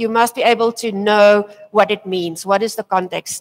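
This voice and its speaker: A woman is speaking. She has a South African accent. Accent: local Afrikaans. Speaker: tech presenter. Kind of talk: conference talk. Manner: hesitant, many fillers.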